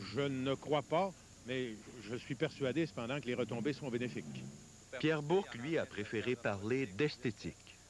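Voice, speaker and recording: Lively intonation in a man's voice at a medium pitch. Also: moderate pace. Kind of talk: TV news reporting, scripted voice-over. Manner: formal, measured newsreading pace.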